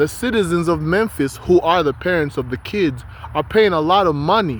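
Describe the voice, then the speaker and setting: A man's high voice with lively intonation at a moderate pace. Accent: non-native. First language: not English. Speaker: vlogger. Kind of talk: casual vlog monologue.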